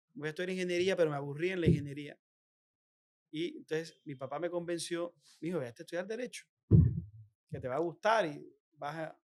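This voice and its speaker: A man's high voice, racing along very fast with long, frequent pauses and ordinary pitch variation. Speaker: politician, former governor. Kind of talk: interview. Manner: halting with repetitions.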